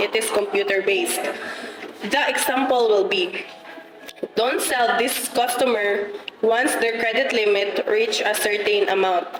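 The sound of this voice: Audible room echo surrounds a fairly bright voice speaking at a fairly slow pace with ordinary pitch variation. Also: woman.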